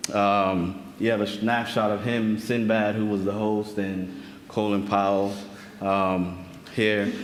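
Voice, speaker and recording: A man's fairly low, monotone, flat voice at a very slow pace, with audible room echo. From Saint Vincent (Caribbean). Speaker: archivist researcher presenter. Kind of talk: conference presentation.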